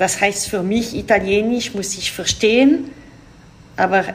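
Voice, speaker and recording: In a French accent, a woman speaks at a fairly slow pace with ordinary pitch variation. Noticeable background noise can be heard. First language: French (speaking German). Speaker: diplomat. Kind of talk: interview. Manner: halting.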